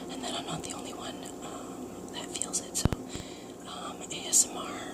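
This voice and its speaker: Noticeable background noise sits behind a woman's whisper. Her pace is fairly slow, and her loudness swings a lot. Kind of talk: casual talk to camera. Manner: whispered.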